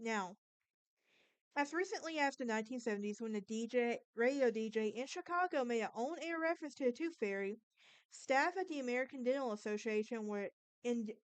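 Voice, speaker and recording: With lively intonation, a woman speaks at a fairly quick pace in a high pitch. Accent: Southern US. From Alabama, US South. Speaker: podcast host. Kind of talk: casual monologue; informal storytelling on history and folklore. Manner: halting, with false starts.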